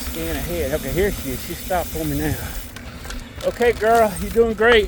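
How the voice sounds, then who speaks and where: Noticeable background noise sits behind a man speaking at a moderate pace with an American accent. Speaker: mountain biker vlogger. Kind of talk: casual narration while riding. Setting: outdoors on bike trail.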